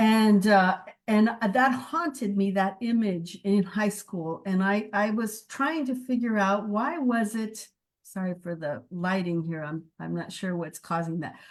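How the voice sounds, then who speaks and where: The voice has an American accent and lively intonation. It moves at a fairly slow pace. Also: woman, medium pitch for a woman. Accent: Mexican American Texan English. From US-Mexico border, El Paso, Texas. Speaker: theology professor. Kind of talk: memorial talk to colleagues. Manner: halting, with fillers and repeats.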